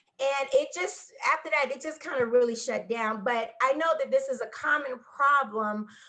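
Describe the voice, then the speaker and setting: A woman with an American accent speaks in a high, bright, sharp voice, raised and projected. Her pitch varies in an ordinary way at a moderate pace with hardly any pauses. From US Midwest, Gary, Indiana. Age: 40s. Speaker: psychic medium and Reiki master. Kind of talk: personal testimony in interview.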